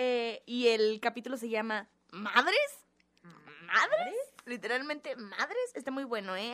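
In a Mexican accent, a woman speaks at a fairly slow pace with a fairly high pitch. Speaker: podcast co-host. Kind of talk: casual chat.

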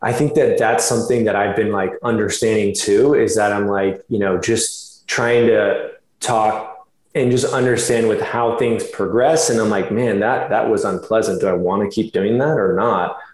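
A man with an American accent talks at a moderate pace, his loudness very even, with audible room echo around him. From Florida. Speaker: chiropractor and fitness model. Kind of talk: interview.

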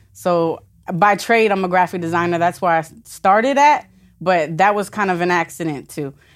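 An unremarkable speaking voice from a woman, fairly low in pitch, at a moderate pace with ordinary pitch variation, on a very clean recording with a silent background. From Florida (Vero Beach). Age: 20s. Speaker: entrepreneur, graphic designer. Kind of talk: casual interview.

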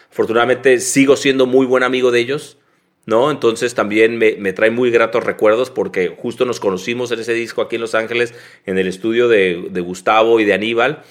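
With an ordinary speaking voice, a man talks at a medium pitch and a fairly quick pace with fairly even intonation. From Mexico, Tijuana. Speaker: graphic designer. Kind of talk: casual interview.

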